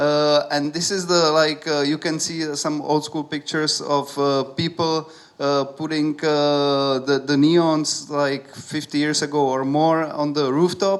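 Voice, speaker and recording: In a Czech accent, the speaker talks at a fairly slow pace with hardly any pauses and monotone, flat intonation. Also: man, fairly high pitch for a man. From Czech Republic, Prague. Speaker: artist. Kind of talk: talk to an audience. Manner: halting, many fillers. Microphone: speaking without holding the microphone.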